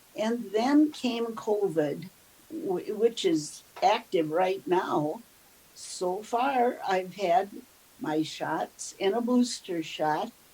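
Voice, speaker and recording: A woman with a medium pitch and a dark, mellow tone talks at a very slow pace in an Upper Midwest accent, her pitch swinging very widely. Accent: Upper Midwest (Minnesota). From US Midwest, southern Minnesota (Mankato). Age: 80s+. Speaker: elderly woman telling her life story. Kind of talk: oral history interview.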